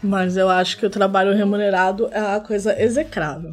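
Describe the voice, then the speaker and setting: A woman speaks at a medium pitch and a moderate pace. Her voice is somewhat breathy. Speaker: podcast co-host. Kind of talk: casual chat. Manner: soft-spoken.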